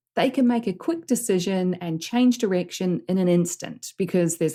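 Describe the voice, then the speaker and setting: In a very clean recording with a silent background, a woman with a New Zealand accent has a dark, mellow tone, medium pitch and ordinary pitch variation. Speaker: business coach. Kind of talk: podcast coaching talk.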